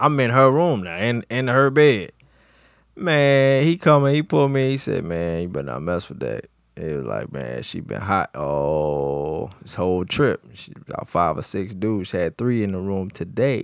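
At a moderate pace, a man with a fairly low pitch uses very wide pitch swings and big swings in loudness. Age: 30s. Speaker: podcast co-host and music producer. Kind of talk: casual chat. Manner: animated.

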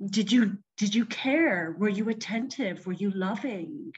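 A woman with a Canadian accent talks at a very slow pace, somewhat breathy, with a fairly high pitch and lively intonation. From Vancouver, Canada. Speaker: fiber artist and arts organizer. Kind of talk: casual chat. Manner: halting.

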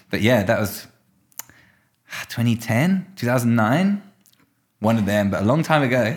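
A man with a British accent speaks at a fairly slow pace, with medium pitch and lively intonation. He leaves long, frequent pauses. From UK. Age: 20s. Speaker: professional mountain biker. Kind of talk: casual chat. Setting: office above a skate park.

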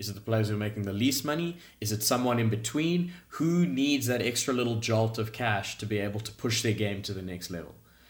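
With audible room echo, a somewhat breathy man at medium pitch talks at a fairly quick pace with lively intonation. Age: 20s. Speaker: professional golfer. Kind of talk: podcast interview.

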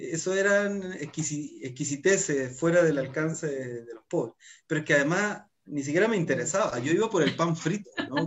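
With a plain, everyday voice, a man speaks at a moderate pace and a fairly high pitch, with ordinary pitch variation and big swings in loudness. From northern Chile. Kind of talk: casual chat.

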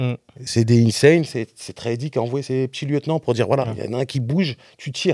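Dry and close with no echo, the voice has a dark, mellow tone, a fairly quick pace, and fairly even intonation. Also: man, medium pitch for a man. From France, Rennes. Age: 30s. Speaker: rapper. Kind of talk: casual interview. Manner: halting, many repetitions.

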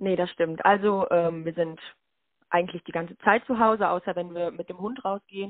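In an ordinary speaking voice, a woman talks at a moderate pace with a medium pitch and fairly even intonation. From Lüdenscheid, Sauerland, Germany. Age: 20s. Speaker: student teacher and handball player. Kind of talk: casual interview. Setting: phone call.

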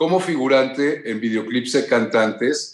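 A man's medium-pitched voice with a Mexican accent. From Mexico. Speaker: actor and former model. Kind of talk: interview.

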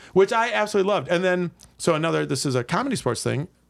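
A man with an American accent talks at a very fast pace in a high voice. His pitch swings very widely, and the recording is very clean with a silent background. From Milwaukee, Wisconsin. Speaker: improv comedian. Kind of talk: casual chat.

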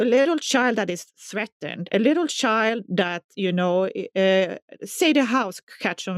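Speaking at a fairly slow pace with a Swedish accent and ordinary pitch variation, a woman is captured in a very clean recording with a silent background and a dry, close sound with no echo. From southern Sweden. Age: 40s. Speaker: music teacher. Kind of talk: personal testimony.

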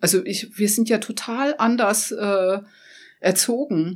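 Recorded very cleanly with a silent background, a woman with an ordinary speaking voice talks at a medium pitch with ordinary pitch variation. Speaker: photographer. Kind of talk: interview. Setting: studio.

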